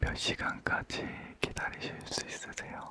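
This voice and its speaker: A man whispers in a calm, relaxed tone. Background noise is noticeable. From Korea. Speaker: ASMR creator. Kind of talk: casual chat ASMR.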